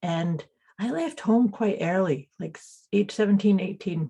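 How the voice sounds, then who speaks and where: A woman with a Scottish accent, a dark, mellow tone, medium pitch, lively intonation and a somewhat breathy quality. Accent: Scottish, noticeable. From Scotland (teen years), born in Canada. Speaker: intuitive coach and energy healer. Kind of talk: interview conversation. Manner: halting, repeats words.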